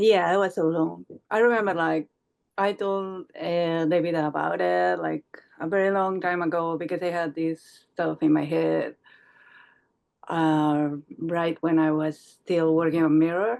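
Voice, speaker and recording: A woman speaks at a fairly slow pace with a non-native accent. Her pitch sits fairly low, and her intonation stays fairly even. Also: quiet background. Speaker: comics artist and writer. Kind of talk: casual interview. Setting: video call.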